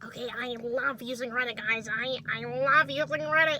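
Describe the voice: A nasal, put-on character voice at a fairly high pitch comes through over clear background noise. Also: moderate pace.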